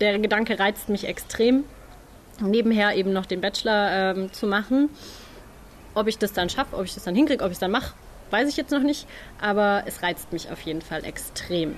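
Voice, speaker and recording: At a moderate pace and medium pitch, a woman speaks with ordinary pitch variation and long, frequent pauses. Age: 20s. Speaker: nursing trainee. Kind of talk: interview.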